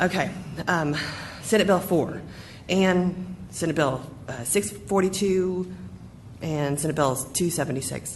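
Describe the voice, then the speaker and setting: Her intonation lively, a woman talks at a fairly slow pace with long, frequent pauses, and audible room echo surrounds her voice. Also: fairly low pitch for a woman. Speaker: school district official. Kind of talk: board meeting report. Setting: school board meeting.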